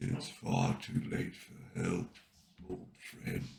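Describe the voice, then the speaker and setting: In a put-on character voice, a man whispers raspily at a very slow pace. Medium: read story. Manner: quiet, slow.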